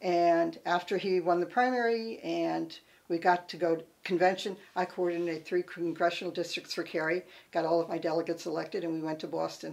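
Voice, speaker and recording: In a very clean recording with a silent background, a woman speaks fairly quickly in a normal speaking voice pitched fairly low. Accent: American. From Connecticut. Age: 60s. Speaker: political campaign volunteer. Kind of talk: personal reminiscence.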